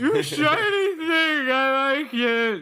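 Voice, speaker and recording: A high-pitched, put-on character voice. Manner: slurred, delighted.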